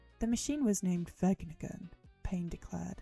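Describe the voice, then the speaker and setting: With music playing in the background, a woman talks at a fairly quick pace in a dry, close sound with no echo. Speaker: livestreamer. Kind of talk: dramatic reading of a novel.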